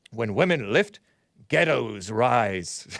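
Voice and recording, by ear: Putting on a character voice, a man speaks at a medium pitch with very wide pitch swings.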